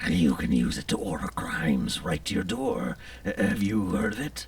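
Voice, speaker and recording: A man does a cartoonish character voice with a very deep, low pitch. He keeps a moderate pace over light background noise. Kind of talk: gothic horror monologue. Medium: puppet show. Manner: florid, theatrical.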